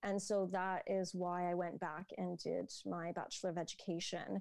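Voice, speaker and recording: Speaking at a fairly slow pace, a woman with a Canadian accent has a medium pitch, a dark, mellow tone and fairly even intonation. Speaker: social entrepreneur and educator. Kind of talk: interview.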